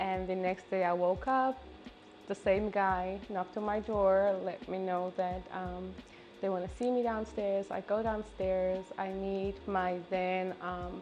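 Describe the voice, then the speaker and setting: A woman speaks at a medium pitch and a fairly slow pace, her intonation flat and monotone. Music plays in the background. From South Africa. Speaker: fitness and dance instructor. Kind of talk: casual interview chat.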